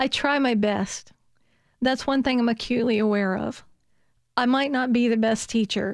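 Speaking in a Southern US accent at a moderate pace, a woman with fairly high pitch keeps very even loudness and fairly even intonation, with long, frequent pauses on a very clean recording with a silent background. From US South, Virginia. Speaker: biology professor. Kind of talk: interview.

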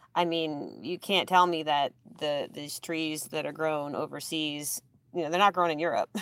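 A woman at a moderate pace on a very clean recording with a silent background. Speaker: forestry pest management specialist. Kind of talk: radio interview.

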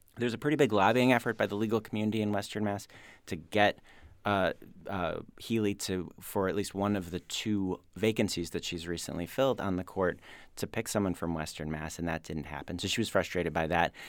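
An ordinary speaking voice belongs to a man who talks at a fairly quick pace and a fairly low pitch, his pitch varying in an ordinary way on a very clean recording with a silent background. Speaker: news director panelist. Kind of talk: radio panel discussion. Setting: studio.

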